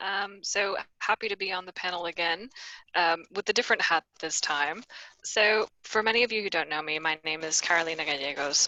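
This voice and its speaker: A woman with an American accent, an ordinary speaking voice, ordinary pitch variation and a moderate pace. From US, Miami, Florida; Ecuadorian family. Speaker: payments risk professional, panelist. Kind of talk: webinar panel introduction. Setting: video call.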